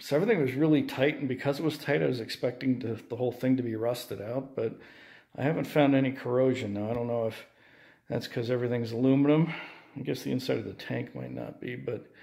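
A man with a dark, mellow tone talks at a very fast pace with fairly even intonation over a quiet background. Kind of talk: casual show-and-tell commentary. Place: home room. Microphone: phone near.

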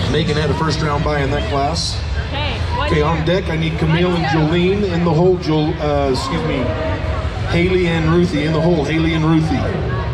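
Crowd noise fills the background. The speaker talks at a fairly quick pace. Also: man. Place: hall.

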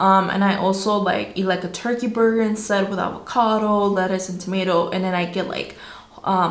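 Room echo is audible as a woman talks at a moderate pace in a medium pitch. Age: 20s. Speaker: fitness vlogger. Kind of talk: casual talk to camera. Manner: upbeat. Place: home room. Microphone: phone near.

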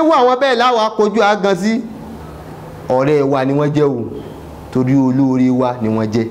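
Over light background noise, the voice moves at a moderate pace with very wide pitch swings. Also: man. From Nigeria, Yoruba-speaking southwest. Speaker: Islamic preacher. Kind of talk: sermon. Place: studio.

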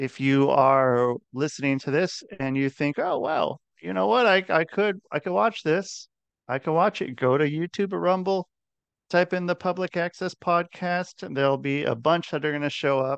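A man talks at a moderate pace with lively intonation, his dry sound carrying no echo over a quiet background. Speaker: podcast host. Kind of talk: podcast intro and hosting chat. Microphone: headset.

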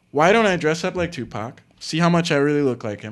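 A man talks in a fairly high pitch, the background around him quiet. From Palm Beach, Florida; Florida. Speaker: actor and filmmaker; actor. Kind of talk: casual chat. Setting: studio. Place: studio. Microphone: studio mic.

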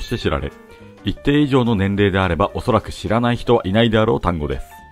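Music plays in the background as a man speaks in a calm tone. His pace is fairly quick and his intonation lively. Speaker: bartender. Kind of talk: educational narration. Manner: calm, polite.

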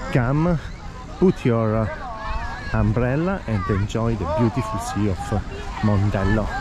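Against crowd noise in the background, the speech moves at a fairly slow pace with a dry sound and no echo. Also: man. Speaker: travel vlogger guide. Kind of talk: casual walking tour commentary. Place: beach. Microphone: phone near.

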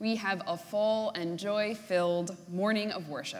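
A woman speaks at a fairly slow pace. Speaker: minister. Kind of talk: worship service announcements. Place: church.

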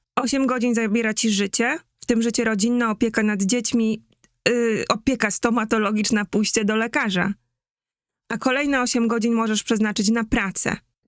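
A woman's fairly high voice at a moderate pace, a normal speaking voice with fairly even intonation and very even loudness, dry and close with no echo, on a very clean recording with a silent background. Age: 40s. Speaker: market researcher and brand strategist. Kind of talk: live-stream talk.

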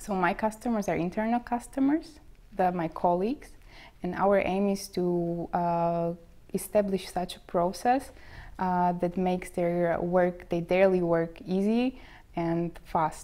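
Speaking in a Slovak accent, this voice has a dark, mellow tone, ordinary pitch variation and a fairly slow pace. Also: woman. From Slovakia. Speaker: bank trainee. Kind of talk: interview. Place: office. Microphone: lapel.

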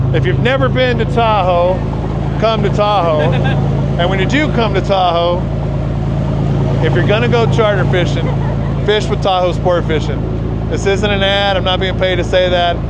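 Long, frequent pauses at a moderate pace, ordinary pitch variation, a dry sound with no echo and loud background noise. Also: man. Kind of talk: casual vlog chat. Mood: cheerful, enthusiastic. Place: boat. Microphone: phone near.

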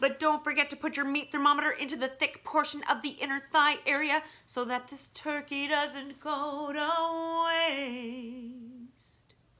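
A woman uses a raised, projected voice at a fairly slow pace. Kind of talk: comic song performance. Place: home room. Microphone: phone near.

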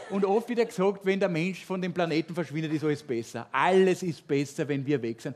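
A man talks at a fairly quick pace. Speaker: stand-up comedian. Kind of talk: stand-up comedy monologue. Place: stage. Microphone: headset.

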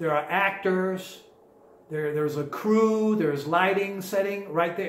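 With an American accent, a man talks at a moderate pace and ordinary pitch variation, and the room echo is audible. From Florida. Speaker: hypnotist; presenter. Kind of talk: seminar talk. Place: home room.

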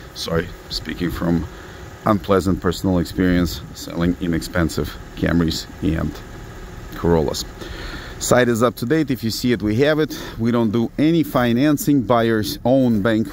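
A man's voice at a moderate pace, with long, frequent pauses, a dry sound with no echo, and light background noise. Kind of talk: sales walkaround commentary. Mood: blunt, matter-of-fact. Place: street. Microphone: phone near.

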